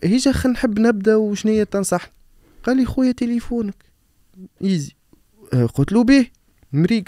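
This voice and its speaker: The voice has a dark, mellow tone and lively intonation, moving at a moderate pace with long, frequent pauses. The sound is dry with no echo, and the background is quiet. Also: man. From Tunisia, Nabeul; Tunisia. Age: 30s. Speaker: digital marketer and business content creator; podcast host or guest. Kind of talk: casual interview chat. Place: studio. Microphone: studio mic.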